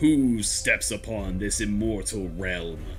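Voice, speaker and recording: A man speaks in a booming, put-on character voice. Clear music plays in the background. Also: fairly slow pace. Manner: commanding.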